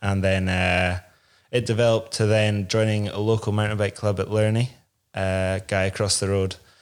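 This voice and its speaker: In a Scottish Highland accent, a man speaks at a moderate pace in a fairly low pitch with monotone, flat intonation, in a very clean recording with a silent background. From Inverness, Scotland. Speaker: downhill mountain bike racer. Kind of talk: casual interview chat. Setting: studio.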